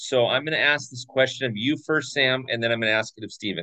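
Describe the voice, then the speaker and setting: Medium in pitch with ordinary pitch variation, a man talks in an unremarkable speaking voice. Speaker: podcast host, Dodgers fan. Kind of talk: casual chat.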